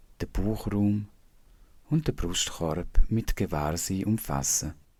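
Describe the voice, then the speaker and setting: At a very slow pace, a man with a Swiss German accent speaks in a calm tone, very deep and low in pitch, with lively intonation. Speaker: meditation teacher. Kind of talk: guided body scan meditation. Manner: slow, calm, soft-spoken.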